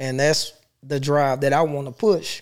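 In a very clean recording with a silent background, a man with an American accent speaks in a fairly high pitch with monotone, flat intonation. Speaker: poet. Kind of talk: casual interview chat.

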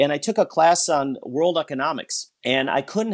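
Against a quiet background, a man with an American accent and an unremarkable speaking voice talks at a moderate pace with lively intonation. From US Midwest (Wisconsin). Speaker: business school professor. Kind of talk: interview.

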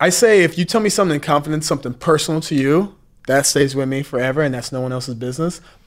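A man's fairly high pitch, with ordinary pitch variation, at a very fast pace. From US South. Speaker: former reality TV contestant, podcast co-host. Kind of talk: casual chat.

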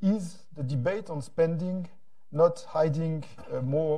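At a very slow pace, a man speaks with a fairly high pitch. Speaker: European lawmaker. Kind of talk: panel discussion. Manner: halting.

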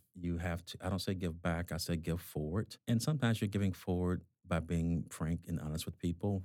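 A man speaks in a Southern US accent at a fairly quick pace. His voice is very deep and low. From US South, Georgia. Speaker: hospital executive. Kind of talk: interview conversation.

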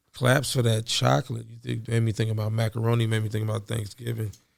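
Somewhat breathy and monotone with flat intonation, a man talks at a medium pitch and a fairly quick pace. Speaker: podcast co-host, cannabis entrepreneur. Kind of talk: casual chat. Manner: laid-back.

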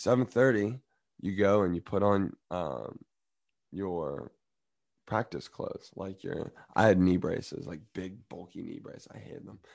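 A man with an American accent has a plain, everyday voice and a fairly low pitch. He speaks at a fairly slow pace, with big swings in loudness. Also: very clean recording, silent background. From US South. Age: 20s. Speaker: college student athlete. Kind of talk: casual chat.

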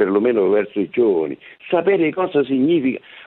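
A man at medium pitch speaks with very wide pitch swings. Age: 80s+. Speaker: war veteran, former partisan. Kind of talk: interview. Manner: indignant, emphatic.

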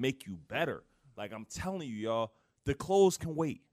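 A very clean recording with a silent background, an animated tone, a moderate pace and an American accent. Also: man. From Philadelphia, US. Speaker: podcast host, entrepreneur. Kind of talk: casual interview chat; motivational pep talk.

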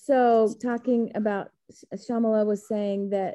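In an American accent, a woman talks at a fairly high pitch with monotone, flat intonation. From Texas.

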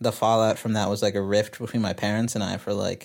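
Over a silent background in a very clean recording, a man with an American accent speaks at fairly low pitch with fairly even intonation. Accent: slight Texan accent at times. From Texas, outside Dallas. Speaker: singer-songwriter. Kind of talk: interview conversation. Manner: casual, many fillers.

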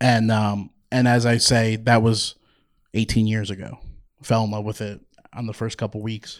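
A man with a slight New Jersey accent, at a medium pitch and a moderate pace, his intonation monotone and flat, with long, frequent pauses, on a very clean recording with a silent background. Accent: slight New Jersey accent on certain words. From New Jersey (Toms River). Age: 40s. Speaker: minor league baseball team executive. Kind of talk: live interview. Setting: stage with audience.

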